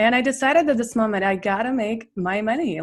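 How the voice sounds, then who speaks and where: The speaker has a Russian accent and keeps a moderate pace. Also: woman. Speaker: business coach. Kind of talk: interview.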